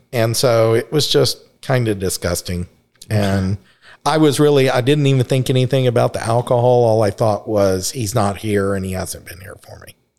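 An ordinary speaking voice with an American accent moves at a moderate pace, showing ordinary pitch variation and big swings in loudness in a very clean recording with a silent background. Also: man, medium pitch for a man. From Texas, Dallas. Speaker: recovering alcoholic guest. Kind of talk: personal testimony.

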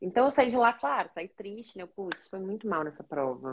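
Her pace is moderate. This woman's voice has very wide pitch swings. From Rio de Janeiro, Brazil. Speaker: language learning coach, neuropsychopedagogue. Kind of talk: live-stream interview.

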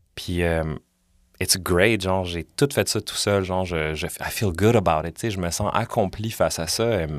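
In a very clean recording with a silent background, a man speaks at a fairly slow pace. His very deep, low pitch carries ordinary pitch variation. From Montreal, Quebec (Villeray). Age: 30s. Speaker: podcaster and musician. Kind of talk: casual interview chat. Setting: studio.

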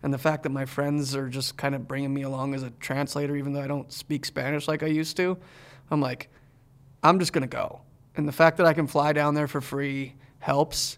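This very clean recording has a silent background. The delivery is fairly quick, with monotone, flat intonation. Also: man, fairly high pitch for a man. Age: 40s. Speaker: podcast host. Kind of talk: casual chat. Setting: studio.

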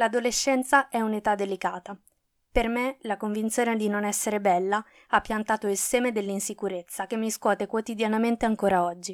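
An ordinary speaking voice from a woman, fairly high in pitch and at a fairly quick pace, with fairly even intonation, a dry, close sound with no echo, and a very clean recording with a silent background. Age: 20s. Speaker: podcaster. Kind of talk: scripted personal narration.

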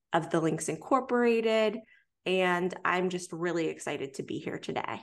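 Speaking in a normal speaking voice, a woman has a fairly low pitch and lively intonation. She keeps a moderate pace against a quiet background. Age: 20s.

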